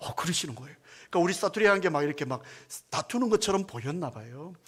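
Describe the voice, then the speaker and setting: Speaking at a very fast pace, a man with a high pitch makes very wide pitch swings and big swings in loudness. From South Korea, Busan (Gyeongsang). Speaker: senior pastor. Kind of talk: sermon.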